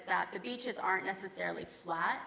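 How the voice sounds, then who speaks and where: A woman with an American accent talks at a moderate pace and medium pitch over noticeable background noise. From United States. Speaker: bridge engineer. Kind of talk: technical presentation.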